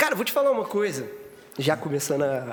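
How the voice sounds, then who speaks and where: Noticeable background noise is present behind the voice. The man talks at a moderate pace. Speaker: podcast host. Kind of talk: casual chat.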